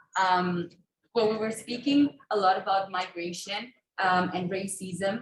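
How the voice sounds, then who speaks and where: Pitch varies in an ordinary way in this somewhat breathy voice. The delivery is fairly slow. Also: woman, medium pitch for a woman. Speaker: audience participant. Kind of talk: audience intervention. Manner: halting.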